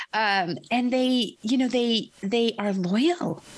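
Her accent is American. This woman's intonation has plenty of life in it. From US Pacific Northwest, Portland, Oregon. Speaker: investment manager. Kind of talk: interview.

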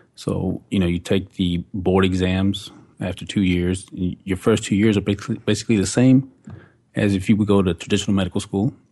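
Speaking at a fairly quick pace with a Texan accent, a man uses fairly even intonation and a dark, mellow tone at a fairly low pitch. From Texas, Fort Worth area. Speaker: naturopathic doctor. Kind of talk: casual radio interview. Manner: halting.

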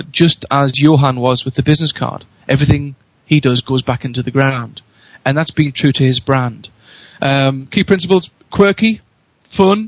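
A man with a Geordie accent speaks at a fairly high pitch and a moderate pace, in an energetic, enthusiastic tone with ordinary pitch variation and a somewhat breathy voice. The sound is dry and close, with no echo. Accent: Newcastle (Geordie) English. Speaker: radio show guest, marketing speaker.

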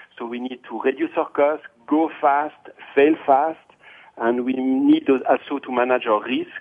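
He has an unremarkable speaking voice, pitched at a medium level. The man keeps a moderate pace and a fairly even intonation. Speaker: IS director.

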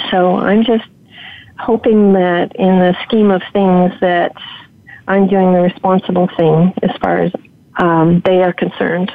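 Noticeable background noise sits behind a woman speaking at medium pitch and a fairly slow pace. Her loudness stays very even. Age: 70s. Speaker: homesteader, former video producer. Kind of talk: interview, casual chat. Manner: nervous about public speaking.

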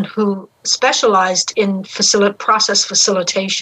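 A woman with a Newfoundland accent talks at a fairly slow pace. Her tone is bright and sharp, and her pitch is medium. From Newfoundland, St. John's. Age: 70s. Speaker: spiritual mentor and facilitator. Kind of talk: live radio interview.

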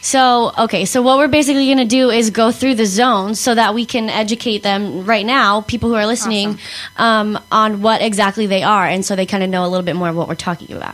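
Her voice is fairly high, with ordinary pitch variation, and she rushes at a very fast pace with hardly any pauses. There is noticeable background noise behind this woman. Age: 20s. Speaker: youth radio show host. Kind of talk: casual chat.

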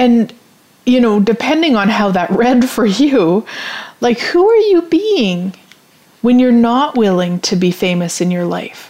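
An animated tone in a Canadian accent, very wide pitch swings, a fairly slow pace and noticeable background noise. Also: woman, fairly high pitch for a woman. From Canada, rural Saskatchewan. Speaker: podcast host, business coach. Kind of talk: casual solo talk show. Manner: animated, laughs often.

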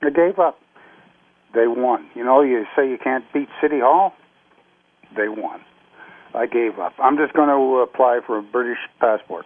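With a Canadian accent, a man speaks at a medium pitch with ordinary pitch variation and long, frequent pauses. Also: moderate pace. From Canada (Nova Scotia), born Scotland. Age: 60s. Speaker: retired navy veteran. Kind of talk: interview. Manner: halting.

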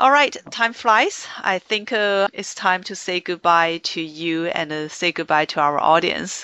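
With a Chinese accent, a woman speaks at a fairly slow pace and a fairly low pitch, barely pausing, her pitch varying in an ordinary way. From China. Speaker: podcast host and business consultant. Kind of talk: interview. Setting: Skype call.

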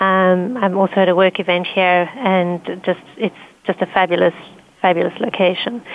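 A woman speaks at a moderate pace in an unremarkable speaking voice, her pitch medium. Her loudness stays very even, and her intonation is fairly even. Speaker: security consultant team lead. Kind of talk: panel discussion.

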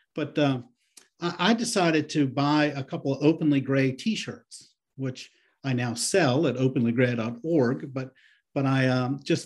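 Somewhat breathy man's voice at a fairly high pitch, quiet background. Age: 60s. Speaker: guest on senior-issues podcast, anti-ageism advocate. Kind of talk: interview conversation. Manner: halting with frequent repetitions.

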